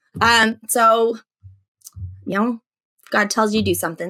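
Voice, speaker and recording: A woman's fairly high, bright and sharp voice with an American accent, animated in tone, at a moderate pace, with ordinary pitch variation. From Alaska, US. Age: 40s. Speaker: teacher and edtech expert. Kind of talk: podcast interview. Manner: animated, chatty with many restarts.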